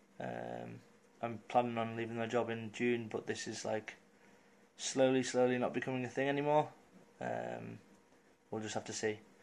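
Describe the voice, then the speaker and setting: Pausing often and at length, a man speaks at a moderate pace with an English accent. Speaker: vlogger. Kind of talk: casual vlog update. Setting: at home. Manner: monotone.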